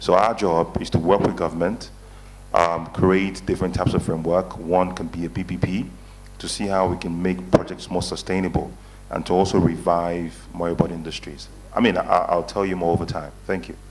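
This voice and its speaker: A man's very deep, low voice at a fairly quick pace, fairly even in intonation, with audible room echo. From Nigeria. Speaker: investment advisory panelist. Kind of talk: conference panel talk.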